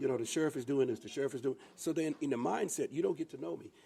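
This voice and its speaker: Very fast man's voice with vocal fry, a dark, mellow tone and ordinary pitch variation. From US South, Sumter, South Carolina. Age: 60s. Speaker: county sheriff. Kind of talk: podcast interview.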